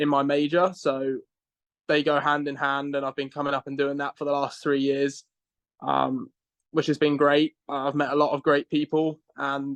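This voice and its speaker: In an English accent, a man speaks at a moderate pace and a fairly high pitch with monotone, flat intonation, the sound dry and close with no echo. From southern England, Reading. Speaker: college golfer. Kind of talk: podcast interview.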